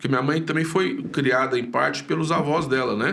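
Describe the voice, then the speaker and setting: A man talks at a moderate pace with lively intonation. Noticeable background noise and audible room echo surround his voice. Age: 60s. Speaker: pastor. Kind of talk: casual interview chat. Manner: hesitant, many fillers and repeats.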